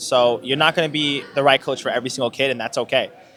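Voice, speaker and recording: Very fast, fairly even-toned speech from a man with a fairly high pitch, over noticeable background noise. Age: young (18). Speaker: youth basketball club founder and coach. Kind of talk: interview.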